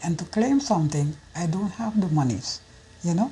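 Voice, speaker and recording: At a moderate pace and medium pitch, a woman speaks with ordinary pitch variation against noticeable background noise. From Curacao. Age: 70s. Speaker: senior citizen interviewee. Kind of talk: personal testimony interview.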